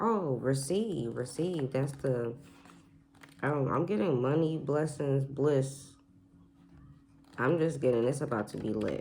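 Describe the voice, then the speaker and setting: Soft-spoken and very slow, a woman with a very deep, low pitch and a dark, mellow tone talks with ordinary pitch variation and long, frequent pauses amid audible room echo. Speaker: oracle card reader. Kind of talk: spiritual card reading to camera. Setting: at home, quiet house. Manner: soft-spoken, talking low; repetitive, animated.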